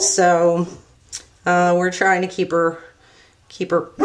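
A woman with a fairly low pitch at a very slow pace, over light background noise. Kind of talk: tutorial. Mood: relaxed, slightly apologetic. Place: home room.

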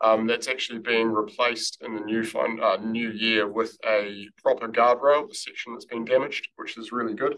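Using a bright, sharp tone, a man with a New Zealand accent speaks with monotone, flat intonation, big swings in loudness and hardly any pauses. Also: medium pitch for a man, moderate pace. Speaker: council roading staff presenter. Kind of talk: formal presentation to a board.

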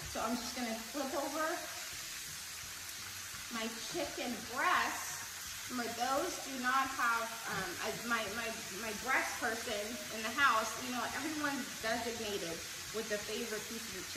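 Speech with ordinary pitch variation and long, frequent pauses comes through loud background noise and audible room echo. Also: woman. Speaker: home cook host. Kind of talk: cooking tutorial. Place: kitchen. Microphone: camera far.

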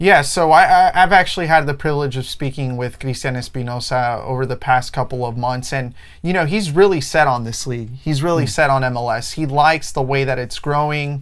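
Against a quiet background, a man talks at a fairly quick pace with ordinary pitch variation. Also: hardly any pauses. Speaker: podcast co-host. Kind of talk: sports discussion commentary. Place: studio. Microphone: lapel.

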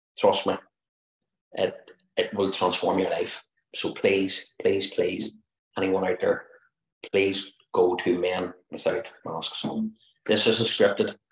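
In a Northern Irish accent, a man speaks at a very slow pace with long, frequent pauses. The background is quiet, though audible room echo comes through. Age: 50s. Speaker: interior designer, retreat participant. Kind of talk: testimonial. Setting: video call. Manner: earnest, pleading. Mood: earnest, heartfelt. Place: home room. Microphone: video call.

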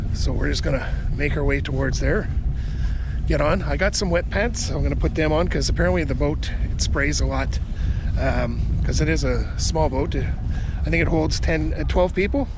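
The sound is dry with no echo, and noticeable background noise sits behind the man speaking. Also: ordinary pitch variation, moderate pace. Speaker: travel vlogger. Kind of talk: casual vlog chat. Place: waterside. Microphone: phone near.

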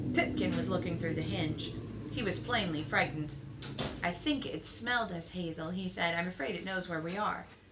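A woman speaks at a fairly quick pace while noticeable background noise runs underneath. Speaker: book reader. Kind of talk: reading a novel aloud. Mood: calm storytelling. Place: home room. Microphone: phone near.

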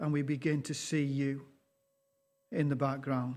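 A man speaking at a fairly slow pace. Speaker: pastor. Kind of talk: sermon. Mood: earnest, slow, reverent. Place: church. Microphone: lapel.

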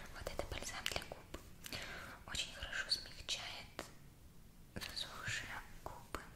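A woman whispers at a fairly slow pace. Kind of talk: soft roleplay talk to viewer. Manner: soft, close, tender ASMR voice. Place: home room. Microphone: phone near.

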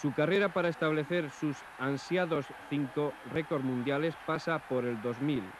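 Talking at a very slow pace, a man has a fairly high pitch and ordinary pitch variation. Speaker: sports commentator. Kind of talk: 1980s TV sports commentary narration.

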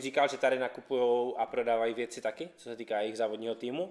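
The speaker talks at a fairly quick pace against a quiet background. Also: man. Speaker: YouTube car channel host. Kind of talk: casual vlog presentation. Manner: casual, upbeat. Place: garage.

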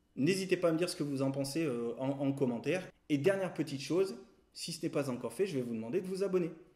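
With a dark, mellow tone, a man talks at a very fast pace and ordinary pitch variation. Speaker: photography teacher. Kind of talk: tutorial. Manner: hesitant, with frequent fillers and repeated words. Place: home room.

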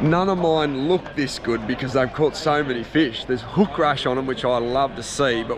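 A man speaks with ordinary pitch variation. Background noise is clearly audible.

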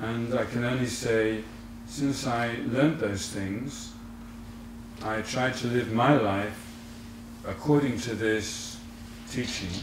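Delivery is very slow, with long, frequent pauses and fairly even intonation. Noticeable background noise runs underneath. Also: man, medium pitch for a man. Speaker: Buddhist teacher. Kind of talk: lecture. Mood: calm, reflective. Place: home room.

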